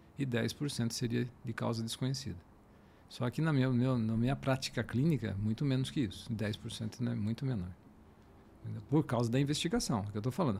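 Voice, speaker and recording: This man's voice is somewhat breathy, with a dark, mellow tone. He talks at a moderate pace with ordinary pitch variation. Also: medium pitch for a man. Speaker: fertility doctor. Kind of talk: casual interview. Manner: halting.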